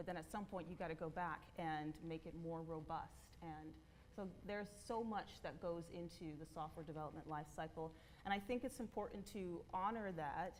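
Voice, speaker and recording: Amid audible room echo, a woman speaks at a fairly low pitch with ordinary pitch variation. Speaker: conference speaker, developer relations lead. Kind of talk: conference talk. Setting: stage with audience. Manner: fast.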